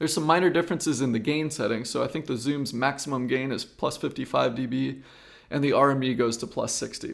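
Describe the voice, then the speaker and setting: On a very clean recording with a silent background, a man talks at a very fast pace with a medium pitch, ordinary pitch variation and vocal fry. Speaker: freelance videographer reviewing audio gear. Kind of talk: tutorial. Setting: indoor room at home with acoustic treatment. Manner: lower volume, close to mic. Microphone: multiple mics compared, some far away.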